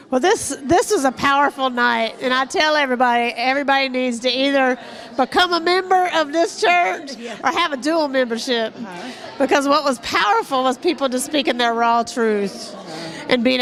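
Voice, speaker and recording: With crowd noise behind, the voice moves at a moderate pace with ordinary pitch variation. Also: woman. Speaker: minister. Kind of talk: interview answer.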